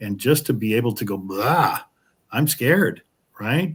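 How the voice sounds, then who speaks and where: A somewhat breathy man's voice at a moderate pace, lively intonation, in a very clean recording with a silent background. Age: 60s. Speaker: co-host of an online collapse support group. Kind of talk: interview. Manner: halting, many repetitions.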